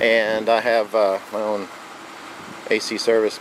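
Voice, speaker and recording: American-accented male voice at a medium pitch, with noticeable background noise. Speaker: car restoration hobbyist, air conditioning business owner. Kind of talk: casual video walkaround. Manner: casual, hesitant with fillers.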